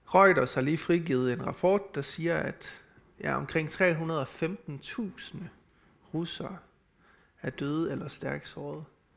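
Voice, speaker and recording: Pausing long and often, a man speaks at a very slow pace on a very clean recording with a silent background. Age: 30s. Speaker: preacher. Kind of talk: sermon. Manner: halting.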